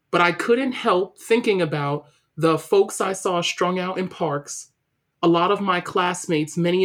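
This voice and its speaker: A woman speaks with a New York accent at a moderate pace. Her pitch is fairly low and varies in an ordinary way. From Brooklyn, New York City. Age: 30s. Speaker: diversity and equity consultant. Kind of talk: interview.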